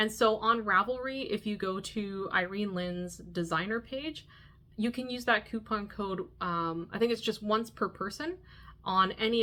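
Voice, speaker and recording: A woman with a Canadian accent speaks at medium pitch in a bright, sharp tone. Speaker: knitting podcaster. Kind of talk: casual vlog monologue. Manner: animated.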